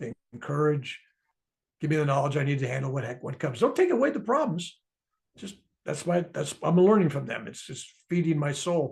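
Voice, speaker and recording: With an unremarkable speaking voice, a man talks at a fairly high pitch while his loudness swings widely. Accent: American. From US. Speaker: author and spiritual speaker. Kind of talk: interview about his book.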